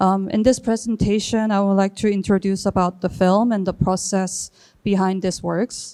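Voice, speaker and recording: A woman with a Korean accent speaks at a medium pitch in a dark, mellow tone, with monotone, flat intonation and very even loudness, in a very clean recording with a silent background. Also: moderate pace. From South Korea. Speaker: artist and filmmaker. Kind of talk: reading aloud. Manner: halting.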